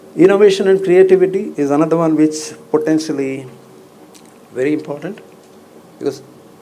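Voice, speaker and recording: Fairly quick talking from a man, backed by music. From India, Bangalore. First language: Kannada. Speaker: banking executive, convocation speaker. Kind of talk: commencement speech.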